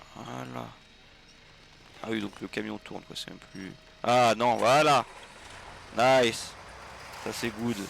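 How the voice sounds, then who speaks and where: A man at a very slow pace, with long, frequent pauses and big swings in loudness. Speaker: gaming streamer. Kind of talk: live gameplay commentary. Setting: livestream. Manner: animated.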